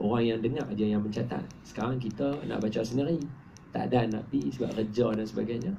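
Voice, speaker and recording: A man's medium-pitched voice with a dark, mellow tone and vocal fry, at a fairly quick pace amid audible room echo. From Malaysia, Penang. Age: 30s. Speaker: Islamic preacher and author. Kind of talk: book talk to an audience. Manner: casual, conversational.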